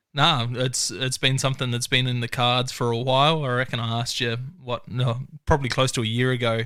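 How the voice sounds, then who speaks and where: An Australian accent, a monotone, flat intonation, and a fairly quick pace. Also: man, medium pitch for a man. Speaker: podcast host. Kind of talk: casual interview chat.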